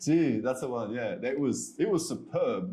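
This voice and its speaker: Here a man talks with an Australian accent. His tone is dark and mellow. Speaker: expat entrepreneur. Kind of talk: podcast interview.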